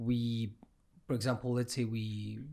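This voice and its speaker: This is a man speaking. He has a Cypriot accent. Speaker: podcast host. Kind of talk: casual chat.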